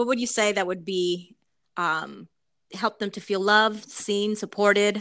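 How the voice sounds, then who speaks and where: A woman in an ordinary speaking voice, at a fairly slow pace with fairly even intonation. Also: medium pitch for a woman. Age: 40s. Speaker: podcast host. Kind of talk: casual chat.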